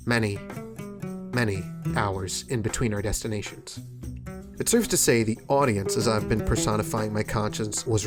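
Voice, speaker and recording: Music in the background under a man at a fairly low pitch, with lively intonation, a moderate pace and long, frequent pauses. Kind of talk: documentary voice-over narration.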